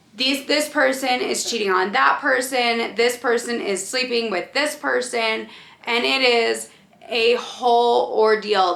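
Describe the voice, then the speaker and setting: A woman speaks at a very slow pace with a fairly high pitch, vocal fry and lively intonation. Audible room echo surrounds her voice. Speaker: book reviewer. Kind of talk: casual chat.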